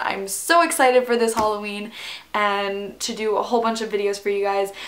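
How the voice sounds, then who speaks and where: A woman talks at a medium pitch, with audible room echo in the recording. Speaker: beauty YouTuber. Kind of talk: makeup tutorial. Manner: animated.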